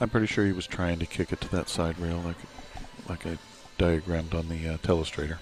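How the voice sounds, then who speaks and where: Very fast and quiet, a man with a very deep, low voice talks with fairly even intonation over noticeable background noise. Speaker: pool commentator. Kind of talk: live commentary.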